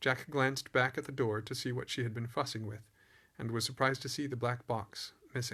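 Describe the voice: The clip is plain reading aloud. The intonation stays fairly even.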